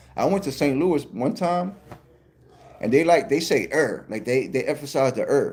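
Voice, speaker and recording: A man with a New York accent, fairly high-pitched, with lively intonation and a moderate pace. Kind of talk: casual, informal.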